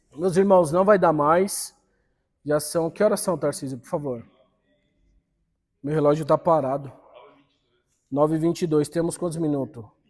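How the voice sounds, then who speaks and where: A man speaks at a moderate pace with a fairly high pitch, ordinary pitch variation and big swings in loudness. His long, frequent pauses sit in a very clean recording with a silent background. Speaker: Bible school teacher. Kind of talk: church Bible class lecture. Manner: animated.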